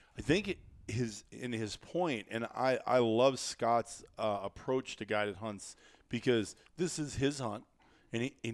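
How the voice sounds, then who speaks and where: Speaking fairly slowly with an American accent, a man uses a plain, everyday voice at a medium pitch with ordinary pitch variation. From US Midwest (northeastern Iowa). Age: 50s. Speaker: podcast host, hunting outfitter. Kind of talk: casual chat. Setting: studio.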